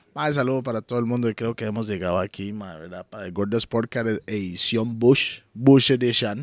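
A man talks at a moderate pace with hardly any pauses and ordinary pitch variation, though his loudness swings widely. The sound is dry with no echo, and the background is quiet. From Costa Rica. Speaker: podcast co-host. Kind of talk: casual chat. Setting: outdoors in the jungle. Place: garden. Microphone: studio mic.

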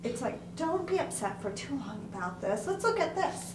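Amid noticeable background noise, a woman speaks at a fairly slow pace with very wide pitch swings. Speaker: class participant. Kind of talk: group discussion. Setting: classroom. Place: classroom. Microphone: camera far.

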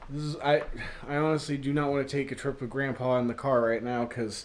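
A man's monotone, flat delivery at a fairly quick pace over light background noise. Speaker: vlogger. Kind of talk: casual vlog chat. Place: home room. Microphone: phone near.

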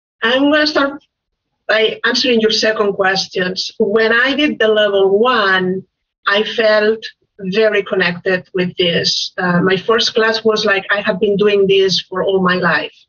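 A woman with a Spanish accent speaks at a fairly slow pace. Her loudness stays very even. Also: fairly high pitch for a woman, ordinary pitch variation. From Spain. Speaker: life coach. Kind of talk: interview. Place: home room. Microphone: video call.

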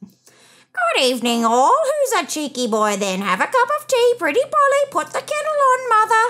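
A put-on character voice at extremely high pitch moves at a moderate pace with hardly any pauses. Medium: read story. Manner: chattering, cheeky, parrot-like mimicry.

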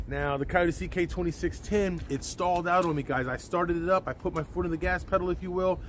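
A man at a high pitch with fairly even intonation, in a dry sound with no echo over noticeable background noise. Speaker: tractor owner vlogger. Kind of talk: casual vlog chat. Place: farm machine.

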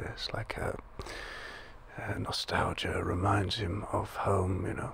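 A man whispering at a very slow pace. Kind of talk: ASMR role-play. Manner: soft-spoken ASMR agent voice.

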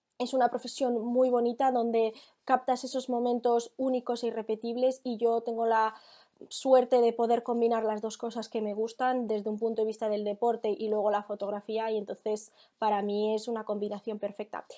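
Fairly high-pitched woman's voice with a dark, mellow tone, monotone, flat intonation and a moderate pace over a quiet background. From Spain, Barcelona; Catalonia, Spain. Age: 20s. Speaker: equestrian photographer. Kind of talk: interview; interview answer. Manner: hesitant, with fillers. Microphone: earbuds.

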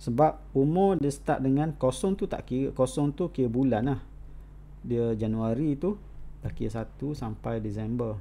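At a fairly slow pace, a man speaks in a dark, mellow tone at medium pitch with ordinary pitch variation. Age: 40s. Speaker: college lecturer. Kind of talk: online lecture.

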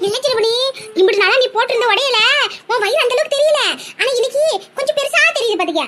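A woman's cartoonish character voice at an extremely high pitch, with ordinary pitch variation and very even loudness. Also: fairly quick pace. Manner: boastful, blunt.

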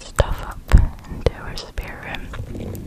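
Whispering at a very slow pace, a woman sounds soft-spoken and breathy. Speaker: ASMR creator. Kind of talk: soft-spoken ASMR chat. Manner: close, soft breathy whisper. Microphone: studio mic.

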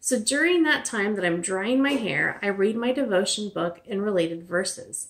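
Against a quiet background, a woman talks at a fairly quick pace with lively intonation. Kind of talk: casual vlog chat. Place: home room. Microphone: phone near.

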